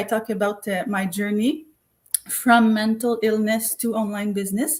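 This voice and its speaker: Speaking in a Quebec French accent, a woman with a fairly high pitch sounds somewhat breathy, keeping fairly even intonation at a moderate pace. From Quebec, Montreal. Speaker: co-author and online business coach. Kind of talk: live panel self-introduction. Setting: live online stream. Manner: halting.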